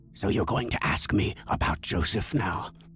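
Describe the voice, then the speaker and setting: A man's growling put-on character voice at a moderate pace, with clear background noise. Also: fairly low pitch for a man. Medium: machinima. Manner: erratic, riddling.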